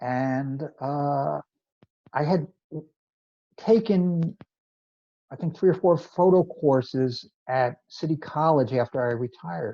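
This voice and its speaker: A man with a fairly high pitch, ordinary pitch variation and a dark, mellow tone, speaking at a very slow pace with long, frequent pauses against a quiet background. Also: dry, close sound with no echo. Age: 70s. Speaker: amateur photographer, photo club co-president. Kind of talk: interview.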